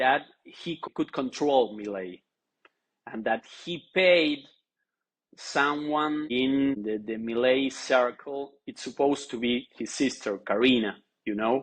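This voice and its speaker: A man talks in a Spanish accent. His pace is very slow, broken by long, frequent pauses. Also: medium pitch for a man, ordinary pitch variation. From Argentina. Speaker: journalist, newspaper editor. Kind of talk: interview on podcast. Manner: halting.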